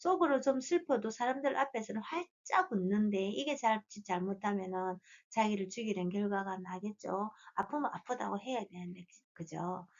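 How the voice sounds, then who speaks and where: Talking at a fairly slow pace, a woman with a plain, everyday voice keeps a medium pitch with ordinary pitch variation. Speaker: fortune teller. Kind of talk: lecture.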